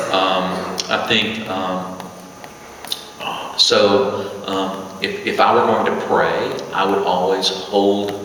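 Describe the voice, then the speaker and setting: A man talks in a space with audible room echo and noticeable background noise. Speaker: bishop. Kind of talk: Q&A talk to congregation. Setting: church with live audience. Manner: conversational, with many fillers.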